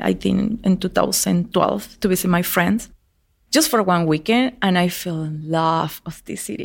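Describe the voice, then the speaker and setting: A woman speaks at a fairly slow pace with a Spanish accent and a fairly low pitch, captured in a very clean recording against a silent background. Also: ordinary pitch variation. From Venezuela (El Vigía). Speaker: hiking club founder. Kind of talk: interview.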